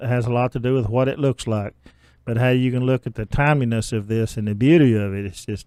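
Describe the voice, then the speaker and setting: A man with an Ozark accent, medium pitch and a dark, mellow tone, at a fairly quick pace with fairly even intonation and a dry, close sound with no echo. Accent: Ozark southern US. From Arkansas, Ozarks. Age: 60s. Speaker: county judge. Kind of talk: radio interview.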